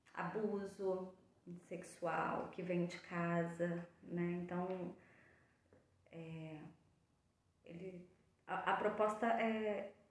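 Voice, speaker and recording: A woman's medium-pitched voice with fairly even intonation, a very slow pace, long, frequent pauses, big swings in loudness and audible room echo. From São Paulo coast, Brazil. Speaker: psychologist. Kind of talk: casual chat.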